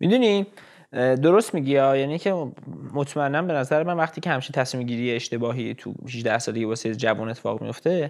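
A man at medium pitch with lively intonation and a very fast pace, against a quiet background. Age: 20s. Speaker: business graduate. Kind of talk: casual chat.

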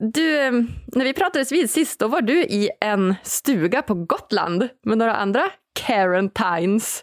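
A woman in a Norrland accent talks at a fairly slow pace with very wide pitch swings and very even loudness. The sound is dry and close, with no echo. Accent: northern Swedish (Norrland) dialect. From northern Sweden (Umeå). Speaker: podcast host. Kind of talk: podcast interview. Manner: animated.

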